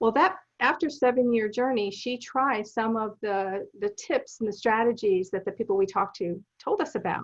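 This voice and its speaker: In a plain, everyday voice, a woman speaks at a fairly high pitch. She keeps a moderate pace with lively intonation. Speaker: documentary film producer. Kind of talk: interview.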